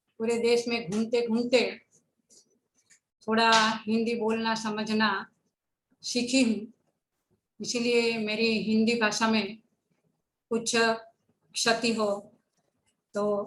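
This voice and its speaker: Audible room echo surrounds a woman speaking at a fairly high pitch. Her intonation is monotone and flat, broken by long, frequent pauses. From Gujarat, India. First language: Gujarati (speaking Hindi). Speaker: education speaker. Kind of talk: lecture. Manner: formal.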